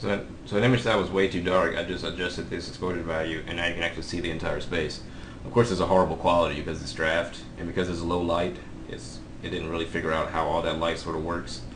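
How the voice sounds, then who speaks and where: A man's very deep, low voice at a very fast pace, fairly even in intonation, with audible room echo and noticeable background noise. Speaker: software instructor. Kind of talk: live webinar tutorial.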